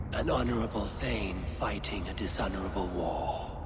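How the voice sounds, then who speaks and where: A man's cartoonish character voice at a moderate pace over loud background noise. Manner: grave, persuasive.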